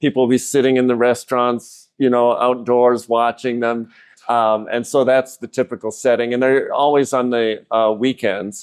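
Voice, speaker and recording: Monotone, flat intonation at a moderate pace, over a quiet background. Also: man. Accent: American. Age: 60s. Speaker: amateur cyclist. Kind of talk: podcast interview.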